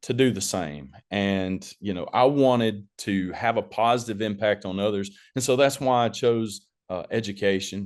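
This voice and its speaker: A man with a Southern US accent talks at a moderate pace in a fairly low pitch with ordinary pitch variation. The background is quiet. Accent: Southern twang. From US South, northeast Alabama (rural). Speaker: school administrator. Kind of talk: webinar presentation.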